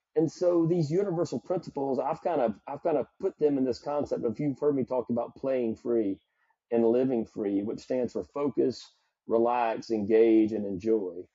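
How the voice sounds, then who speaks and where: With lively intonation, a man talks in a Southern US accent. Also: medium pitch for a man, moderate pace. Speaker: psychologist and performance coach. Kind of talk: podcast interview.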